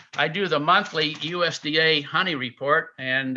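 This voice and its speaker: A man speaks with an American accent in a bright, sharp tone. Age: 80s+. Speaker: beekeeper giving a talk. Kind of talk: slide presentation lecture. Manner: hesitant, frequent uh fillers.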